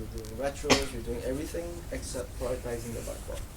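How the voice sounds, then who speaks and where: The speaker is soft-spoken and talks at a fairly quick pace. There is noticeable background noise. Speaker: agile team lead. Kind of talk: conference talk.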